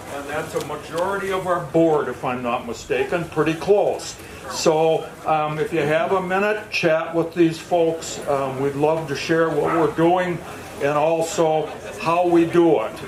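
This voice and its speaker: A man with a fairly high pitch speaks with fairly even intonation. Noticeable background noise and audible room echo fill the recording. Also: fairly slow pace. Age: 70s. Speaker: conservation group board member. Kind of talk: award acceptance speech. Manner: halting, with fillers.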